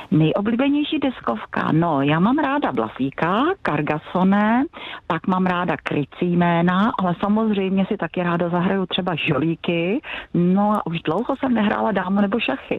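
A woman talks at a moderate pace and medium pitch with very wide pitch swings and very even loudness, over noticeable background noise. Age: 60s. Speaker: secondary school science teacher. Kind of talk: phone interview. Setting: phone call.

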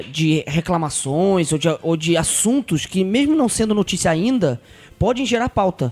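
Music plays behind a man with a high pitch who speaks at a moderate pace, the sound dry and close with no echo. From São Paulo, Brazil. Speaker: podcast guest. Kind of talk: casual chat.

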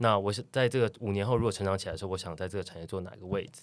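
Recorded very cleanly against a silent background, a man talks at a very fast pace with ordinary pitch variation. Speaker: coffee roaster and café owner. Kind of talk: casual chat. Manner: steady, storyteller-like delivery.

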